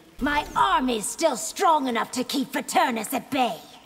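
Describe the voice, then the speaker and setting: At a moderate pace, a woman puts on a character voice pitched high. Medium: video game. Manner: fierce, threatening.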